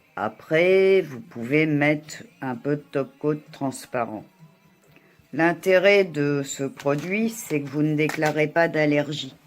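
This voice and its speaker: Very slowly and with lively intonation, a woman speaks in a very deep, low pitch. Music plays in the background. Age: 60s. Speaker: beauty vlogger. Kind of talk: tutorial. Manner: hesitant.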